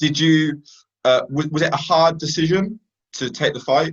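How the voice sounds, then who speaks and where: The speaker is a man whose pitch is fairly high. There is some breathiness to his voice. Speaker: MMA interviewer. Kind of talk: interview.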